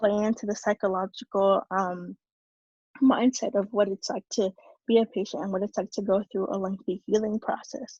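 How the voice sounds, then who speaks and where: A woman's somewhat breathy, medium-pitched voice with a dark, mellow tone and a dry, close sound with no echo. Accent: Spanish. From New York City. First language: Spanish. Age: 20s. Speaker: youth activist. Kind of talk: talk to an audience. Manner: halting, many fillers and repeats.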